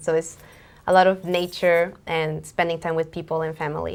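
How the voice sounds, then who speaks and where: A woman speaks at a fairly quick pace. Her pitch sits fairly low. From Moldova and Mexico. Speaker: singer-songwriter. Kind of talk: interview. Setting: TV studio.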